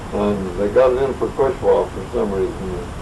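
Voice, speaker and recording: Speech comes at a fairly slow pace, with noticeable background noise and audible room echo. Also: man. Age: 80s+. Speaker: local old-timer storyteller. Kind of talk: oral history storytelling. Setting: group gathering in a private home.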